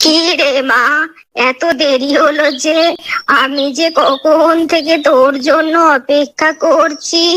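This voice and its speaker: A woman's cartoonish character voice, high in pitch, at a fairly slow pace with monotone, flat intonation. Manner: warm, homely.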